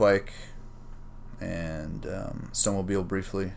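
A man talks at a fairly slow pace. Echo from the room can be heard. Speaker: podcast host. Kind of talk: solo casual monologue. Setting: home during lockdown. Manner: rambling, loose and profane.

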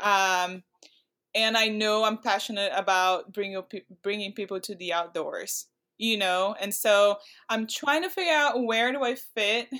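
A woman's fairly high, bright and sharp voice with a Portuguese accent, ordinary pitch variation and a fairly slow pace. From Brazil. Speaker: pro climber. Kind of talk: casual interview.

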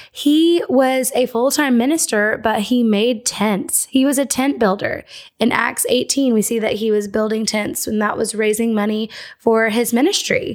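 A woman with an unremarkable speaking voice has a fairly high pitch, ordinary pitch variation, and very even loudness. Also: moderate pace. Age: 20s. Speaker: podcast host. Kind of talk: casual chat.

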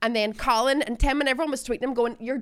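A woman with a Northern Irish accent talks very fast, fairly high in pitch and fairly even in intonation. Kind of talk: casual chat.

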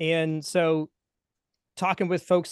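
His pitch is fairly high for a man. The intonation stays monotone and flat against a quiet background. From US South, Atlanta area. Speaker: musician and coach. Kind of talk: interview. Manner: casual, hesitant with fillers.

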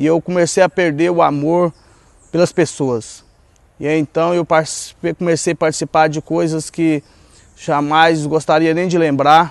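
Dry and close with no echo, a fairly high-pitched man speaks in a monotone, flat way at a fairly slow pace, with long, frequent pauses. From Goiás, central-west Brazil. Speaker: former drug addict and ex-prisoner in a recovery ministry. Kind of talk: personal testimony.

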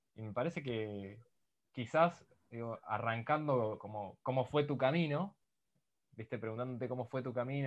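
A man talks in an ordinary speaking voice, medium in pitch, at a moderate pace with ordinary pitch variation. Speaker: podcast host. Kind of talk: interview.

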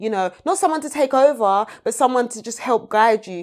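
A woman with a London accent is heard in a very clean recording with a silent background. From London (Peckham), Nigerian family. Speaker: screenwriter and playwright. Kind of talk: casual interview.

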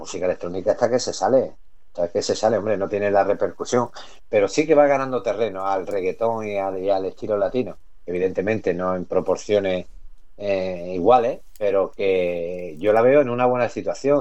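Dark, mellow tone from a man at fairly low pitch, with ordinary pitch variation and a moderate pace. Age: 40s. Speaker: electronic music MC and DJ. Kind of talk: radio interview. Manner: halting, repeats words.

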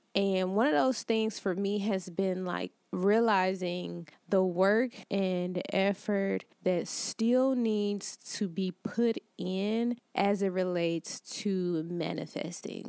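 With an American accent, a woman speaks very slowly in a dark, mellow tone, recorded dry and close with no echo on a very clean, silent background. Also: medium pitch for a woman, ordinary pitch variation, hardly any pauses. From Detroit, Michigan. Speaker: life coach podcast host. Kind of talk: solo motivational talk. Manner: casual, conversational.

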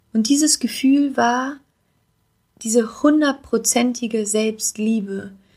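Speaking very slowly with long, frequent pauses, a woman uses a high pitch and fairly even intonation. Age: 20s. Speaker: podcast host and life coach. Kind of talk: solo podcast monologue.

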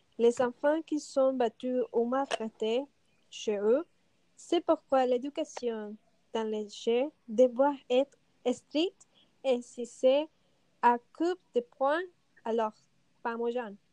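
Very slow speech with long, frequent pauses and ordinary pitch variation, dry and close with no echo, music in the background. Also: woman, high pitch for a woman. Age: 30s. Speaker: stay-at-home mother. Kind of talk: panel debate.

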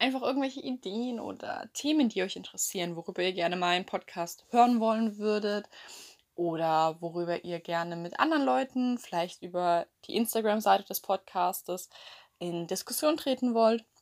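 On a very clean recording with a silent background, a woman at medium pitch speaks at a moderate pace with lively intonation. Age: young. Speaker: podcaster. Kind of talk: casual monologue. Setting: lying in bed at home. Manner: chatty.

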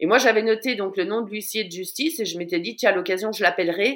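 The recording is very clean, and the background is silent. The speaker is a woman. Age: 40s. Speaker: social media watchdog and content creator. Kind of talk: interview. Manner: halting, with many repeated words.

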